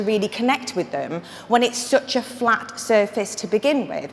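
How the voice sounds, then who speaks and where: A woman at a moderate pace, with noticeable background noise. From northern England. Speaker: marketing consultant and conference speaker. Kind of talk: conference talk. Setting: stage with audience. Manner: casual and humorous.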